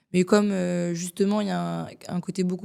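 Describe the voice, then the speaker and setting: The recording is very clean, with a silent background. A woman speaks at a moderate pace and a medium pitch. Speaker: singer-songwriter. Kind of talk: casual interview chat. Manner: hesitant, many fillers (euh).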